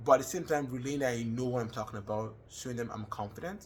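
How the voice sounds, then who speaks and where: Over audible room echo, a man with a Nigerian accent speaks very fast in a medium pitch, somewhat breathy, with ordinary pitch variation. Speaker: student. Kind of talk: personal reflection monologue. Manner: hesitant with fillers.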